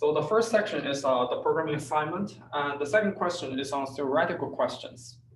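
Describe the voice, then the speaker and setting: Male voice with ordinary pitch variation over noticeable background noise. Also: fairly high pitch for a man, hardly any pauses. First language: not English. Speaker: teaching assistant. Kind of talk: tutorial. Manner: halting, many fillers.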